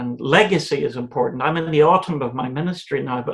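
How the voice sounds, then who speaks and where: Here a man speaks in a Northern Irish accent. His voice is somewhat breathy. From Northern Ireland, County Antrim. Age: 60s. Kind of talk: interview. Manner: halting, with repetitions.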